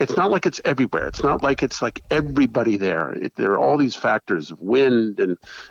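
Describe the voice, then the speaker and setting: A man with vocal fry speaks at medium pitch and a moderate pace, the sound dry and close with no echo. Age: 60s. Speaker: small business owner and local resident activist. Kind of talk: podcast interview. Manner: halting, with many fillers.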